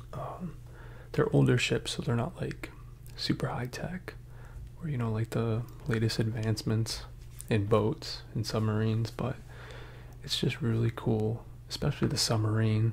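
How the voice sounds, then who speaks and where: Whispering and soft-spoken, a man talks somewhat breathily at a moderate pace with long, frequent pauses over light background noise. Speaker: ASMR creator. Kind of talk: ASMR casual chat. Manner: soft-spoken, partly whispered. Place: home room. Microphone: earbuds.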